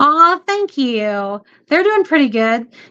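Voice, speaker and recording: A woman speaks with a Southern US accent. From US South. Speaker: homesteader and homeschooling mom. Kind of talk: livestream chat reading viewer comments. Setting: livestream. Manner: casual, halting with many fillers.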